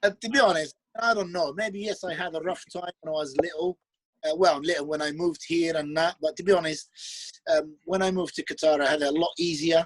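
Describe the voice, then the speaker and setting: Dry and close with no echo, the voice moves at a fairly quick pace with fairly even intonation. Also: man, high pitch for a man. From Libya. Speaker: professional bodybuilder. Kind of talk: casual chat. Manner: relaxed.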